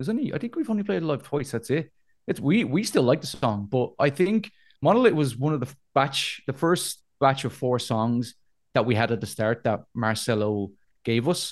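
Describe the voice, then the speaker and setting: A man with a Dublin accent at a medium pitch, lively intonation and a moderate pace, over a quiet background. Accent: Dublin Irish. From Dublin, Ireland (north side). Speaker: metal band vocalist. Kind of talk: casual interview chat. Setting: video call.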